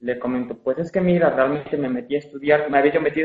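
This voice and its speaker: This speaker goes at a very fast pace with ordinary pitch variation. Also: man. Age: 20s. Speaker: recent accounting graduate. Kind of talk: interview.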